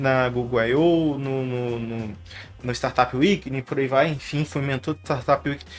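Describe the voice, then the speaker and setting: Rather high male speech with a fairly flat intonation. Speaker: YouTuber and tech entrepreneur. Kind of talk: casual monologue to camera. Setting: home studio. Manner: fast; mumbled at times, many filler words. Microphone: professional podcast microphone.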